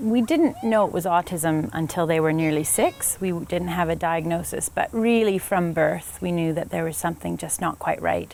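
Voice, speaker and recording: A woman with an ordinary speaking voice talks in a fairly low pitch with ordinary pitch variation. Her pace is moderate, with hardly any pauses. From Canada, British Columbia. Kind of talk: interview.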